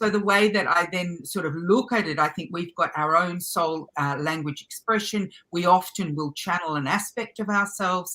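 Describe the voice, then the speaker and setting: A woman speaks in an Australian accent, her tone bright and sharp. Her pitch is fairly low, and she hardly pauses at all. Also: ordinary pitch variation, moderate pace. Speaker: light language channel and spiritual teacher. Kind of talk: interview answer. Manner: rambling, hesitant.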